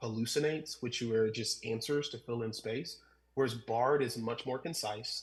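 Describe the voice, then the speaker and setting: A man talks in a somewhat breathy voice. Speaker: pastor. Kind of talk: conference talk. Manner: fast.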